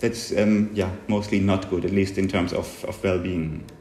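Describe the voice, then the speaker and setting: A man speaks at a moderate pace, with audible room echo and noticeable background noise around him. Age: 40s. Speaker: psychologist, researcher. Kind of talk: interview. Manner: halting, many fillers.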